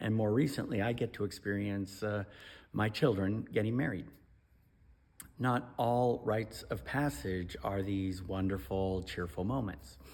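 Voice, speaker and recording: A man with a normal speaking voice, fairly low pitch, ordinary pitch variation, fairly slow pace. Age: 50s. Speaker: pastor. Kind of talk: devotional talk.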